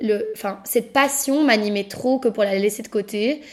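A woman talks with a high pitch and ordinary variation in it. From Belgium, Brussels. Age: 20s. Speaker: podcast host and upcycling entrepreneur. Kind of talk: personal storytelling monologue.

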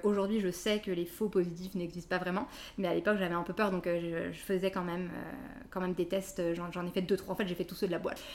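Fairly quick delivery with fairly even intonation. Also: woman. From western France (Nantes). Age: 30s. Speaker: mother sharing birth story. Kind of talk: testimony. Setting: at her home. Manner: hesitant, many fillers.

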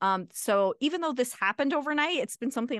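A woman speaks at a fairly quick pace with a General American accent and lively intonation. The sound is dry and close with no echo, over a quiet background. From Arizona. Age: 40s. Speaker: attorney. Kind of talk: interview.

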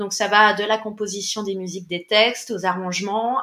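A woman's medium-pitched voice, fairly even in intonation and moderate in pace, against noticeable background noise. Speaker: musician and music teacher. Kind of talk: interview.

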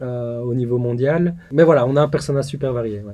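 The speaker has a dark, mellow tone, a moderate pace and fairly even intonation. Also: man. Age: 30s. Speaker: tech startup founder. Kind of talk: interview. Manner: halting, frequent repetitions.

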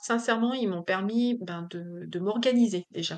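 Very slow pace from a woman, her pitch varying in an ordinary way. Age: 40s. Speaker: business owner. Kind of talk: interview. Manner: hesitant, many fillers.

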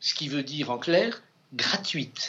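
Against noticeable background noise, a man speaks very slowly with lively intonation. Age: 70s. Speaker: book editor and author. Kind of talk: interview. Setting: bookshop. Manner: halting.

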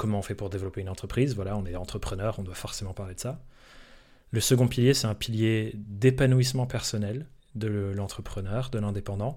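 Fairly low in pitch, a man talks at a fairly quick pace with a dark, mellow tone and fairly even intonation. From France. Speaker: entrepreneur and content creator. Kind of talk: casual interview chat.

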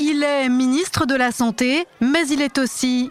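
A woman speaks with high pitch. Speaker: satirical news show host. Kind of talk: satirical news parody show, mock-serious presenter. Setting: studio.

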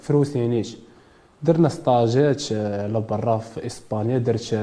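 This man has a plain, everyday voice at a medium pitch. He talks at a moderate pace. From Morocco, Casablanca. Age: 20s. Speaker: boxer. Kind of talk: interview.

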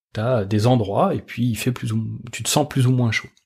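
His voice sits at a medium pitch. This man sounds somewhat breathy. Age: 40s. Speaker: energy design consultant and trainer. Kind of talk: casual interview. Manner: hesitant, many fillers and restarts.

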